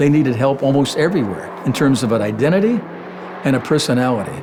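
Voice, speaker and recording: A man's fairly high voice with lively intonation at a fairly quick pace, amid noticeable background noise. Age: 80s+. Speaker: retired advertising executive. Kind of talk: casual interview and creative meeting.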